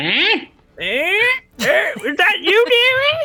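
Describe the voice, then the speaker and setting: An extremely high-pitched, put-on character voice does the speaking. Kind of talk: warm, calling the granddaughter dearie.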